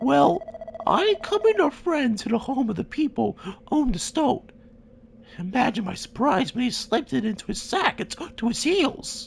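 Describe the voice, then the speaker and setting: Putting on a character voice, a man talks at a moderate pace in an extremely high pitch with very wide pitch swings. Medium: fan dub. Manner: florid, archaic phrasing.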